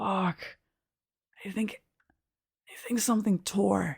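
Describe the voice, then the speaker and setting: A woman puts on a raspy character voice at medium pitch, talking at a fairly slow pace. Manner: pained, breathless.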